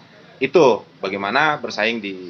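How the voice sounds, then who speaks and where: Noticeable background noise is present. The speaking pace stays moderate. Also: man. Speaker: podcast host. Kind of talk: podcast interview questions.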